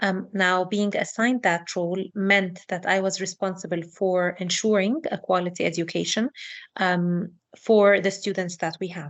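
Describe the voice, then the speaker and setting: A woman with a non-native accent and fairly even intonation. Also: medium pitch for a woman, moderate pace. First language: not English. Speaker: educational researcher. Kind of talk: online talk.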